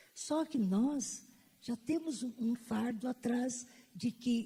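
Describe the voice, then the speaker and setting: A somewhat breathy voice with a dark, mellow tone. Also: woman. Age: old. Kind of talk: panel talk. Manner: halting.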